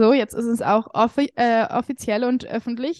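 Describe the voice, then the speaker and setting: A plain, everyday voice from a woman, fairly high in pitch, at a moderate pace with fairly even intonation, dry and close with no echo, against a quiet background. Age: 20s. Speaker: confidence coach. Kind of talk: casual chat.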